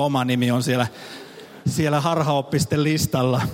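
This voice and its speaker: In a plain, everyday voice, a man talks at medium pitch and a fairly quick pace with fairly even intonation, in a dry, close sound with no echo. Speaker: pastor. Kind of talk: sermon. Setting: church service with audience.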